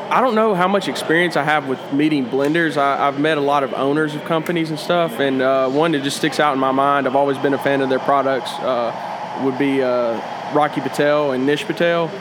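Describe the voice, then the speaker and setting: Over noticeable background noise, a man with a Southern US accent and a fairly high voice speaks at a moderate pace with very even loudness and ordinary pitch variation. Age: 20s. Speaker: cigar shop employee. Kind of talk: casual chat. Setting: cigar shop.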